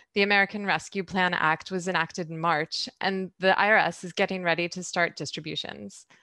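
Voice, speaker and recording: Her tone bright and sharp, a woman speaks at a fairly quick pace. The sound is dry with no echo, and the background is quiet. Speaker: podcast host. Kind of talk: interview question and introduction.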